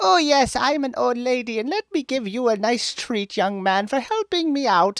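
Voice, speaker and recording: A put-on character voice sits at a fairly high pitch. It runs on with hardly any pauses. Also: moderate pace. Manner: exaggerated, kindly.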